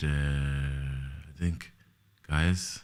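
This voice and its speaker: In a room with audible echo, a man speaks in a very deep, low pitch with monotone, flat intonation. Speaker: online show host. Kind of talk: casual chat.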